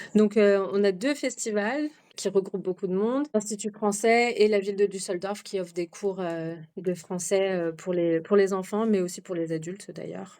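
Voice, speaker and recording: A woman's medium-pitched, dark, mellow voice with ordinary pitch variation at a moderate pace. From France. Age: 30s. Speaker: expatriate mother. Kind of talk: podcast interview. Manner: hesitant, many fillers.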